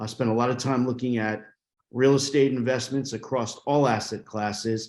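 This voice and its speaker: A man talks at a moderate pace in a New York accent. His medium pitch stays monotone and flat. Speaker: private equity investor. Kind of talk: panel discussion.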